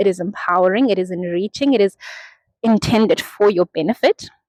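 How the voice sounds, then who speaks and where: Dry and close with no echo, a woman's plain, everyday voice comes at a medium pitch and moderate pace. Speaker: mental health content creator. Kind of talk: casual monologue to camera.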